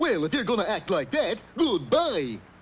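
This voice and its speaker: This cartoonish character voice sits at a fairly high pitch and makes very wide pitch swings. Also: moderate pace. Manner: dopey, cheerful.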